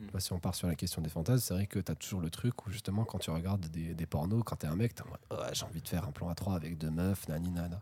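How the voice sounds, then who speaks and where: Delivered at a very fast pace, the voice is somewhat breathy with a dark, mellow tone. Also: man, very deep, low pitch for a man, ordinary pitch variation, hardly any pauses. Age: 20s. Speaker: podcast guest. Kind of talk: casual chat. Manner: halting.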